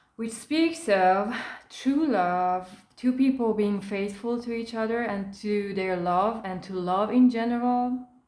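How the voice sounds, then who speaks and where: Audible room echo surrounds a woman with a non-native accent and a fairly high pitch who speaks at a very slow pace with ordinary pitch variation. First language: not English. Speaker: tarot card reader. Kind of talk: tarot reading.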